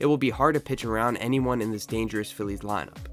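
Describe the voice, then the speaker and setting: Music plays behind a man who speaks very fast. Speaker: sports content creator. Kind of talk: sports commentary talk to camera.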